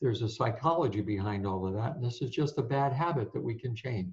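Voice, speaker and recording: A somewhat breathy voice at a fairly quick pace. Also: man. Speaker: sport psychologist and speaker. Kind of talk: interview. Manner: fast.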